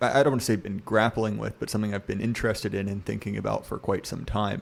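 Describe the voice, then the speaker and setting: A man's fairly low voice with vocal fry, fairly even intonation and a very fast pace. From US South, Virginia. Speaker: podcast guest, literary commentator. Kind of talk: casual podcast discussion.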